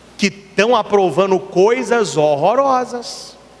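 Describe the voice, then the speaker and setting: A high-pitched man sounds animated, his intonation lively, with noticeable background noise behind him. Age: 40s. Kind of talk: sermon. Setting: church.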